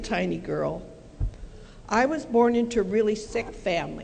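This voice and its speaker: Audible room echo surrounds a woman with a General American accent and lively intonation. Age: 70s. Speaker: career counselor. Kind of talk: motivational talk.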